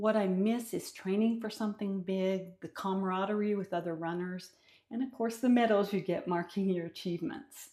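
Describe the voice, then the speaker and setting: On a very clean recording with a silent background, a woman speaks at a moderate pace and medium pitch, with ordinary pitch variation and a dark, mellow tone. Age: 60s. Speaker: vlogger. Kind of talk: personal vlog monologue. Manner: conversational.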